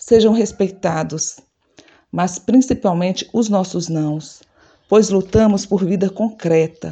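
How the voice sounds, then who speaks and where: A woman talks at a very slow pace with lively intonation. Her tone is dark and mellow, at a medium pitch. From Ceará, Brazil (Fortaleza). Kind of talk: activist manifesto speech. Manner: emphatic, repetitive cadence.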